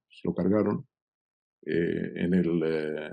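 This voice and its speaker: This man has a dark, mellow tone and talks at a fairly slow pace. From Argentina, Buenos Aires. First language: Hebrew (speaking Spanish). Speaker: political journalist. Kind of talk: interview. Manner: halting, many fillers.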